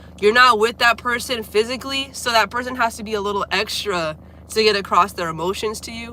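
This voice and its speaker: Speaking fairly quickly with an American accent, the voice shows ordinary pitch variation and big swings in loudness. Noticeable background noise is present. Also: woman, fairly high pitch for a woman. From Florida, near Orlando. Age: 20s. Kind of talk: casual livestream chat. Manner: casual, filler-heavy.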